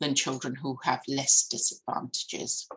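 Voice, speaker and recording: A non-native accent at a fairly slow pace. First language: not English. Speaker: education professor. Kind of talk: conference keynote lecture. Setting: conference. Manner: hesitant with fillers and restarts.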